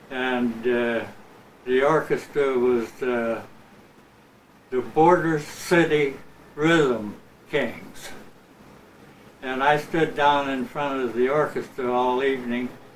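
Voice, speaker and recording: Long, frequent pauses break up a man's very slow speech, and the room echo is audible. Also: medium pitch for a man, fairly even intonation. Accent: American. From Imperial Valley, Southern California. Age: 70s. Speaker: retired musician. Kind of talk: interview. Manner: halting, many fillers.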